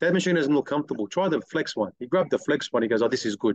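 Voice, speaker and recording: With an Australian accent, a man talks at a very fast pace with ordinary pitch variation, in a dry, close sound with no echo. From Sydney, Australia. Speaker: detailing business owner. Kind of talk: casual chat.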